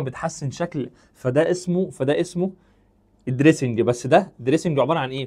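Against a quiet background, a man with a Cairo accent speaks in an animated tone at a fairly high pitch, with ordinary pitch variation and a moderate pace. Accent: Egyptian Arabic (Cairene). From Egypt. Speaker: chemistry teacher. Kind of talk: lecture. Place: studio. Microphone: lapel.

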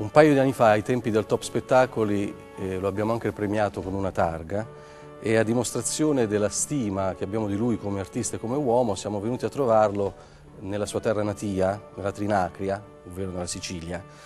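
Faint music plays in the background. A man talks at a fairly quick pace, fairly low in pitch with ordinary pitch variation. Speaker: TV interviewer. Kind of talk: TV interview questions. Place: stage. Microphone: lapel.

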